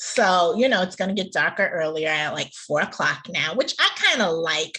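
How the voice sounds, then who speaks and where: With noticeable background noise behind her, a woman talks at a moderate pace in a medium pitch with lively intonation. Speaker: podcast co-host. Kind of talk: casual chat. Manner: loud.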